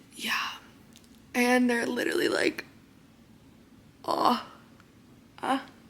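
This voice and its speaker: With lively intonation, the speech moves at a very slow pace with long, frequent pauses over noticeable background noise. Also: woman, high pitch for a woman. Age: 20s. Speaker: lifestyle vlogger. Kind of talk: personal vlog. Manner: casual, filler-heavy.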